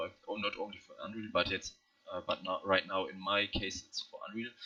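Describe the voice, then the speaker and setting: A man with a non-native accent at a fairly quick pace, over noticeable background noise. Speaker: hobby game developer. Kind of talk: screen-recorded project walkthrough. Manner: halting, many fillers.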